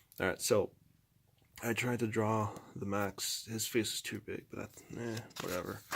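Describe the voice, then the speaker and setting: Quiet and leaving long, frequent pauses, a man speaks at a moderate pace. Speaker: amateur artist vlogger. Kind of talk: casual chat. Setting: at home.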